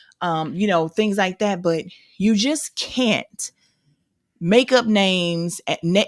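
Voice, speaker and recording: A woman speaks with an American accent and ordinary pitch variation. The sound is dry and close, with no echo. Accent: St. Louis accent, comes out when angry. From St. Louis, Missouri, US. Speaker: podcast co-host. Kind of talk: casual chat.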